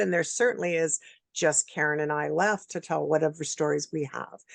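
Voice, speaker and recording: A woman's fairly quick speech with vocal fry, against a quiet background. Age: 60s. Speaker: interview show host and producer. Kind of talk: interview. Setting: video call.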